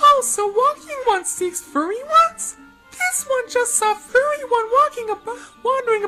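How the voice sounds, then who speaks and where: Faint music plays in the background as a squeaky, put-on character voice at an extremely high pitch goes at a moderate pace. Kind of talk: speaks of himself as 'this one', broken third person.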